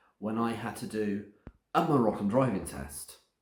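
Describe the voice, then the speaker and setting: Speaking at a fairly slow pace with an English accent, a man shows vocal fry. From England. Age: 60s. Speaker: vlogger. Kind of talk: casual vlog narration.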